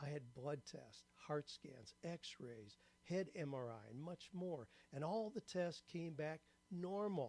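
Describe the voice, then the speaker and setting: At a very slow pace, a man speaks in a fairly high, somewhat breathy voice. His tone is dark and mellow, his intonation lively. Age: 70s. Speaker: writer and career coach. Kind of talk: testimonial. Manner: scripted, measured delivery.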